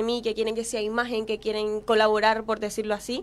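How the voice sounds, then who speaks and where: Her pitch fairly high, a woman speaks at a moderate pace. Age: young. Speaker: beauty pageant contestant; guest. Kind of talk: casual interview. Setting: studio. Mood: confident, motivational. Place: studio. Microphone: studio mic.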